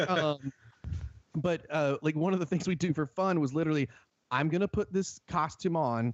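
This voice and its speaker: Delivery comes at a moderate pace. An American accent marks the speech. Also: man. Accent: Southern, thickens at times. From US South, rural North Carolina. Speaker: haunt show director. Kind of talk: podcast interview. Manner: animated.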